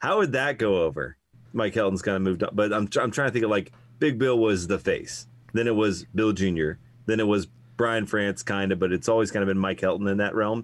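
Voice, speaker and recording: In a plain, everyday voice, a man talks at a fairly quick pace and fairly low pitch, with ordinary pitch variation and very even loudness. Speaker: co-host, motorsports historian. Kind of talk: casual conversation.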